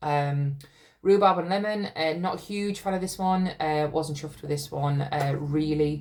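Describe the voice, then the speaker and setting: A woman's very deep, low voice at a moderate pace, with ordinary pitch variation and audible room echo. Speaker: wax melt reviewer. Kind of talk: casual product review. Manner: casual, hesitant with fillers.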